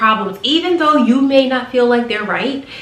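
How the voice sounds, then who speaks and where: A woman speaks in a high voice with lively intonation and an animated tone. Noticeable background noise and audible room echo fill the recording. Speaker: flight attendant vlogger. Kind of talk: advice vlog.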